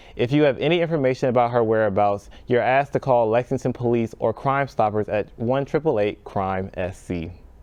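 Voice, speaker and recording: Over a quiet background, a man with an American accent talks at a fairly quick pace with hardly any pauses in an ordinary speaking voice. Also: medium pitch for a man, ordinary pitch variation. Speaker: broadcast journalism student intern news anchor. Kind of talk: TV news anchor read from prompter.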